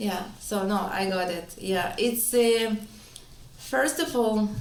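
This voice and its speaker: Speaking very slowly with a slight non-native accent, a woman uses lively intonation at a fairly high pitch. Noticeable background noise and audible room echo fill the recording. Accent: slight foreign. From Israel. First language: Hebrew or Russian. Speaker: entrepreneur, wellness clinic co-founder. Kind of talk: interview.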